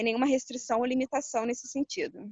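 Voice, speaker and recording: A woman's high-pitched voice. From Rio de Janeiro, Brazil. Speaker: holistic therapist and entrepreneur. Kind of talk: interview.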